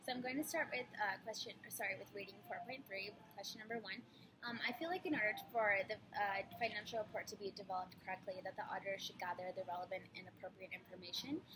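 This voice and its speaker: A woman talks at a fairly quick pace in a medium pitch, with ordinary pitch variation. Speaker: college student. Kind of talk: recorded class assignment. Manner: hesitant, many fillers; fast.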